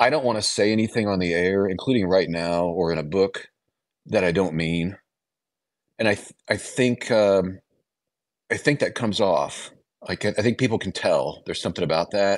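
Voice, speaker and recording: A man with an American accent, fairly low in pitch, with ordinary pitch variation, a moderate pace, and long, frequent pauses. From US Midwest, small-town Illinois. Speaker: author and radio host. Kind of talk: radio interview.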